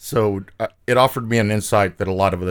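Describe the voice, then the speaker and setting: Over a silent background in a very clean recording, a man with a plain, everyday voice talks at a fairly quick pace in a fairly low pitch with ordinary pitch variation. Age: 40s. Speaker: flooring company territory manager, former carpenter. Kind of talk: casual chat. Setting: studio.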